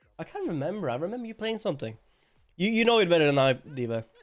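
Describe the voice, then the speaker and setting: A man mumbles with a Norwegian accent. His pitch swings very widely. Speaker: streamer. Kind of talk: casual livestream chat. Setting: live stream. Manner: mumbling.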